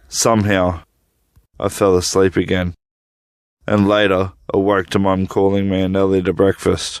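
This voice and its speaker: Music sits in the background. The speaker talks at a moderate pace in a monotone, flat intonation. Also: man. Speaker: storyteller. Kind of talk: horror story narration.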